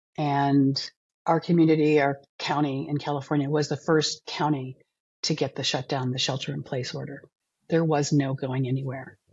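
Somewhat breathy, a woman speaks at a moderate pace in a very deep, low pitch with monotone, flat intonation. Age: 60s. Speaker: alcohol cut-back coach. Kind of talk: interview, personal story.

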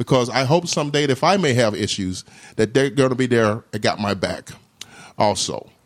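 A man with an American accent and a normal speaking voice, medium pitch and ordinary pitch variation, at a fairly quick pace, on a very clean recording with a silent background. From US South, Jackson, Mississippi. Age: 40s. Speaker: state veterans affairs director, Navy veteran. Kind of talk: interview conversation.

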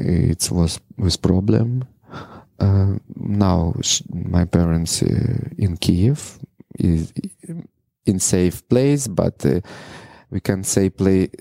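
Very slow with long, frequent pauses, a man's very deep, low voice has a dark, mellow tone, ordinary pitch variation and very even loudness in a dry, close sound with no echo. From Ukraine, Mariupol. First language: Russian. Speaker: adult film performer. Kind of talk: interview. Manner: halting, broken English with many pauses.

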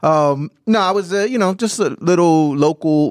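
An animated tone on a very clean recording with a silent background. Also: man. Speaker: podcast host. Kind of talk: casual banter. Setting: studio. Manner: animated, joking.

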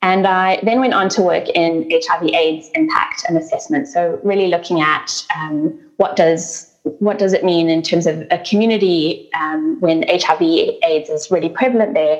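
Against noticeable background noise, a woman with a fairly low pitch talks at a fairly slow pace with hardly any pauses, very even loudness and ordinary pitch variation. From South Africa. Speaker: sustainability nonprofit CEO. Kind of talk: interview conversation.

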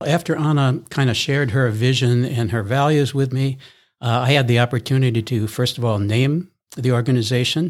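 In a normal speaking voice, a man with an American accent talks at a fairly quick pace and medium pitch, with very even loudness and fairly even intonation, on a very clean recording with a silent background. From US East Coast. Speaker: non-profit co-founder, former ad executive. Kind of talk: interview.

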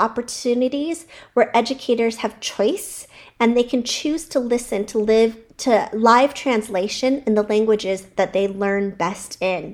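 A high-pitched woman with an American accent, talking at a fairly slow pace. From California. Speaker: childcare center owner and educator. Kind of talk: personal storytelling monologue.

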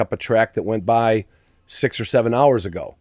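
A man's dark, mellow voice with an American accent, medium in pitch and fairly even in intonation, in a very clean recording over a silent background. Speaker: hunting dog podcaster, construction worker. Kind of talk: interview, storytelling.

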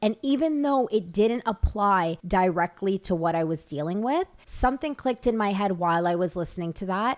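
A woman with an unremarkable speaking voice talks at a moderate pace and medium pitch with lively intonation and hardly any pauses, the sound dry and close with no echo in a very clean recording with a silent background. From Toronto, Canada. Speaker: podcast host. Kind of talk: casual chat.

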